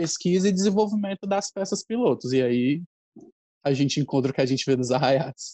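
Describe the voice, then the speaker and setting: A man's dark, mellow voice at a fairly high pitch, with moderate pace, ordinary pitch variation and a dry, close sound with no echo. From Ceará, Brazil. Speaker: festival costume director and researcher. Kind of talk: casual chat.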